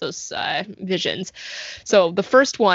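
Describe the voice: The clip consists of plain reading aloud.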